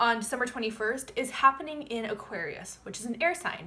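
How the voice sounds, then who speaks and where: A woman's raised, projected voice with lively intonation at a moderate pace. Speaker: astrologer. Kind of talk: forecast monologue to camera.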